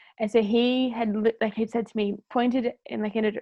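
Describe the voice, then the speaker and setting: A woman speaks at a fairly high pitch with an Australian accent. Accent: thick Australian. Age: 20s. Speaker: former cruise ship worker. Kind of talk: storytelling in casual podcast chat. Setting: podcast recording. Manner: animated.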